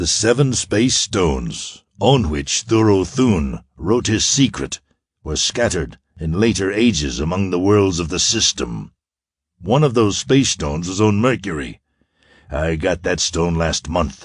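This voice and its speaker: Against a quiet background, a man uses a put-on character voice, very deep and low, with very wide pitch swings at a fairly slow pace. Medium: read story. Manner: cold, commanding.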